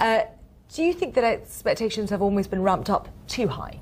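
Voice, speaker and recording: Somewhat breathy and fairly high in pitch, a woman speaks at a fairly quick pace with lively intonation. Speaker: news presenter. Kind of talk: TV news interview.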